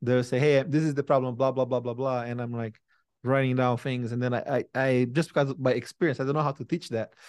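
At a very fast pace, a man with a Brazilian accent speaks in a medium pitch with monotone, flat intonation, over a quiet background with a dry, close sound and no echo. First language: Portuguese. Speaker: tech company CEO and founder. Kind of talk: interview conversation. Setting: video call.

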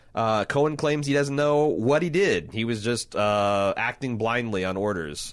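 This man has an ordinary speaking voice, medium in pitch, with lively intonation and a fairly slow pace. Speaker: podcast host. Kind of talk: casual podcast chat about a tv show.

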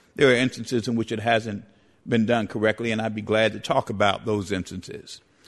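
A man talks at a fairly quick pace in an American accent. His pitch is medium, and his intonation is monotone and flat. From New York City, the Bronx. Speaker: civil rights lawyer. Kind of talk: formal debate.

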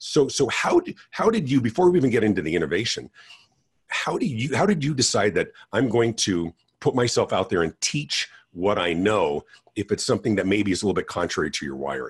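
At a fairly quick pace, a man speaks at a medium pitch with vocal fry and very wide pitch swings. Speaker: podcast host. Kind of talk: casual interview.

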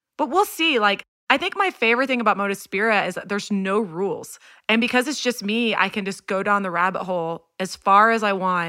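The voice has a bright, sharp tone and ordinary pitch variation, moving at a fairly quick pace. The recording is very clean, with a silent background. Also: woman. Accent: American. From Houston, Texas. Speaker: songwriter and record producer. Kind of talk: casual interview chat.

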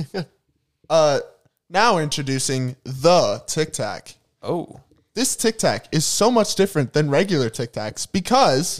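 A man speaks at a fairly high pitch, with very wide swings in his intonation. His delivery is fairly slow, and the sound is dry and close with no echo. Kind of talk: casual comedy podcast banter.

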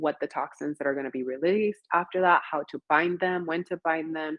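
This woman has a normal speaking voice, pitched fairly low. She talks at a fairly quick pace. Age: 40s. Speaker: gut health coach. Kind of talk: interview.

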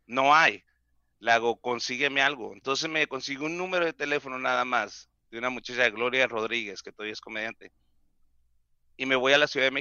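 This is a plain, everyday voice at a fairly quick pace, with ordinary pitch variation and big swings in loudness. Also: man, medium pitch for a man. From Mexico, Mexicali. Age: 40s. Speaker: comedian. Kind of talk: casual chat.

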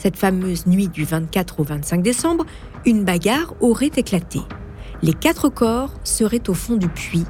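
A woman at a fairly slow pace with very wide pitch swings, with music in the background. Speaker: podcast host. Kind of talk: true-crime narration. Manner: suspenseful, measured storytelling.

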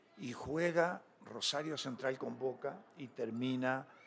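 A man's medium-pitched voice is heard with music in the background. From Uruguay, Mercedes (Soriano). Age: 70s. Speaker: former footballer and coach. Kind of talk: casual interview.

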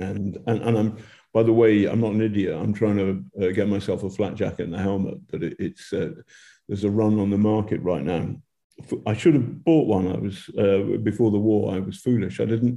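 Over a quiet background, a man with a fairly low, dark, mellow voice speaks at a moderate pace with ordinary pitch variation. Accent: British. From Britain. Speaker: war reporter. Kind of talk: live interview.

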